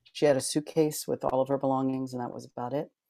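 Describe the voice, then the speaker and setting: Recorded very cleanly against a silent background, a man speaks at medium pitch in a dark, mellow tone with fairly even intonation and a dry, close sound with no echo. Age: 50s. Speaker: circus artist, author and stand-up comedian. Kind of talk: casual interview. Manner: halting, many fillers and restarts.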